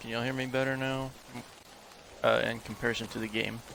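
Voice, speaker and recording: A man races along at a very fast pace in a monotone, flat intonation over noticeable background noise. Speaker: game streamer. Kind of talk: live gameplay commentary. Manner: soft-spoken.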